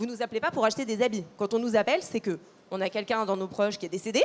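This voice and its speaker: A woman speaks with a fairly high pitch. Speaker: customer service manager at a mutual insurer. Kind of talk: panel discussion. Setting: conference stage with audience. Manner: hesitant, many fillers.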